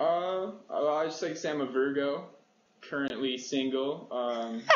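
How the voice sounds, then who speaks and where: Through noticeable background noise and an audible room echo, a man with a Canadian accent speaks at a fairly high pitch and fairly slow pace, with ordinary pitch variation. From Canada (Ontario). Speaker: singer-songwriter. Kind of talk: interview. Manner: quiet, easygoing.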